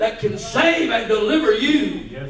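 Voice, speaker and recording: Noticeable background noise runs behind a man's voice. He speaks fairly slowly in an animated tone. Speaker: pastor. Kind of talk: sermon; fervent preaching in full flow, rallying the congregation. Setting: church. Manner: animated, call-and-response preaching; rising, emphatic, urgent delivery with repeated phrases.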